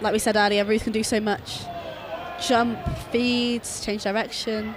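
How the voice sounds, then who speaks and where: Monotone, flat speech moves at a fairly slow pace amid noticeable background noise and audible room echo. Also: woman, fairly high pitch for a woman. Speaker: netball commentator. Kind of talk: live commentary. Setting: arena with crowd. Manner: loud.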